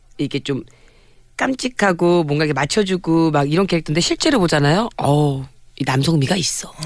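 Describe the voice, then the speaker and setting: A woman speaks at a fairly quick pace with a fairly low pitch. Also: ordinary pitch variation. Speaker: DJ and entertainer. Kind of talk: radio show chat. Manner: loud, belting.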